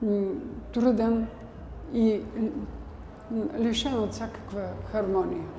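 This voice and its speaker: Amid noticeable background noise and audible room echo, a woman talks in a fairly high voice with ordinary pitch variation. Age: 80s+. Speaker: church bell ringer. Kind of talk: interview testimony. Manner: halting.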